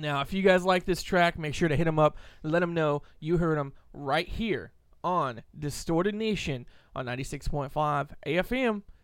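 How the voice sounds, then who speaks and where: A man speaks at a fairly slow pace in a fairly high pitch, with ordinary pitch variation. It is an ordinary speaking voice, on a very clean recording with a silent background. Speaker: radio host. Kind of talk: radio DJ patter: rowdy, joke-filled banter with co-hosts and station IDs. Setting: radio studio.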